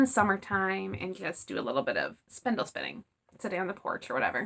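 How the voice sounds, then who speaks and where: A woman speaks at a very fast pace. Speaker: knitting podcaster. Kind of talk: casual vlog monologue.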